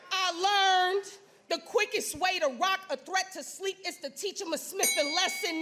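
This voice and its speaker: An intense, raised and projected woman's voice, extremely high-pitched, with ordinary pitch variation, a moderate pace and music in the background. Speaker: spoken word poet. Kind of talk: spoken word poetry performance. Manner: intense, forceful.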